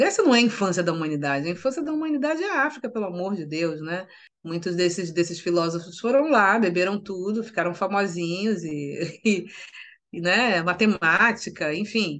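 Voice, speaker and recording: Over a quiet background, a woman with an ordinary speaking voice talks at medium pitch with lively intonation. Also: moderate pace. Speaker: writer and journalist. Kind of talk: interview.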